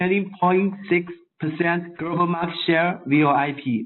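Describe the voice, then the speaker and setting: A man with a non-native accent speaks at a high pitch. His pace is fairly slow and his intonation fairly even. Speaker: phone maker technical support engineer. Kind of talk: webinar product presentation. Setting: online webinar from overseas. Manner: halting, many fillers.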